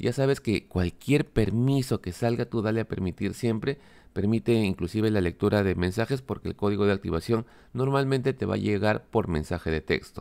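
Dark, mellow male voice with ordinary pitch variation, dry and close with no echo, in a very clean recording with a silent background. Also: fairly low pitch for a man, moderate pace. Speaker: tech youtuber. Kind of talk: tutorial.

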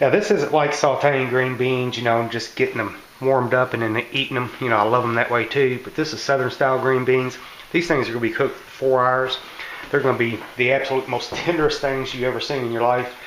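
Amid light background noise and audible room echo, a man talks at a very fast pace. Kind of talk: casual cooking tutorial. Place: kitchen. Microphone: phone near.

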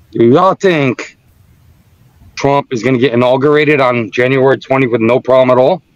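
Here is a man with an ordinary speaking voice, at medium pitch with ordinary pitch variation. He keeps a moderate pace, and the sound is dry and close with no echo. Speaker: trading group member. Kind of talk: casual chat. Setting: video call.

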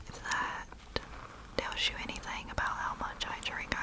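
A woman whispers at a fairly slow pace. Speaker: ASMR creator. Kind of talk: soft ASMR whisper chat. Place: home room. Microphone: studio mic.

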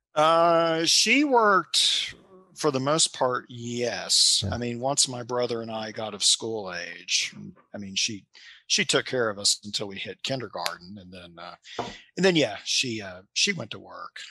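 A bright, sharp tone with a slight Kentucky accent, fairly slow pace and very wide pitch swings, in a dry recording with no echo. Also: man. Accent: light Kentucky Southern. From Kentucky, US. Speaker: novelist and librarian. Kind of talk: casual interview chat. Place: home room. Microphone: headset.

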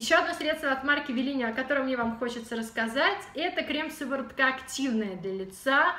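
An animated, raised, projected voice moves at a fairly quick pace with lively intonation and hardly any pauses. Audible room echo surrounds it. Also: woman, high pitch for a woman. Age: 30s. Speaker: beauty blogger. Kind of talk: product review vlog. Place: home room. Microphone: camera far.

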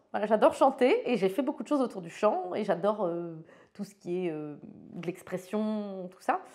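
A woman speaks at a moderate pace with a dark, mellow tone and lively intonation. Her loudness swings widely against a quiet background. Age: 40s. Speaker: photographer; interviewee. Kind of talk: interview monologue. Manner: hesitant, many fillers and repeats. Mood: frank, cheerful, reflective. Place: studio.

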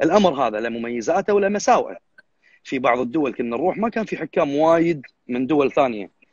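Speaking at a fairly quick pace with a Kuwaiti accent, a man lets his pitch swing very widely, his voice dry with no echo against a quiet background. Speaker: bodybuilding judge. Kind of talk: live stream interview. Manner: fast. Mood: earnest, firm. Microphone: unstable connection, voice cutting out; video call.

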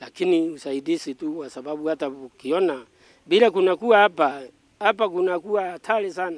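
Here a man talks at a moderate pace with lively intonation. The sound is dry with no echo. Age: 70s. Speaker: farmer; interviewee. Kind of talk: testimony. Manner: halting. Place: open country. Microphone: handheld.

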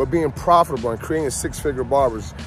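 Faint music plays in the background as a man speaks in a dry sound with no echo. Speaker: barber vlogger. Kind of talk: casual vlog chat. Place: street. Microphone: phone near.

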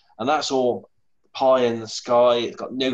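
A man with a British accent at a fairly quick pace, over a quiet background. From UK. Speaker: remote viewer. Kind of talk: casual video chat. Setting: video call. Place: home room. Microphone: lapel.

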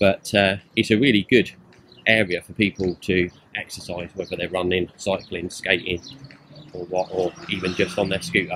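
A man with a very deep, low voice speaks at a moderate pace. His intonation is fairly even, with light background noise. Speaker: travel vlogger. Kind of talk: casual vlog commentary. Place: open country. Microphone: phone near.

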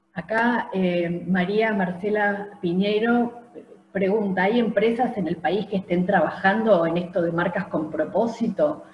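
Amid light background noise and audible room echo, a woman with a medium pitch talks at a fairly slow pace with ordinary pitch variation. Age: 50s. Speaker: university program director; event host, moderator. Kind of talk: webinar moderation. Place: home room. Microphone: video call.

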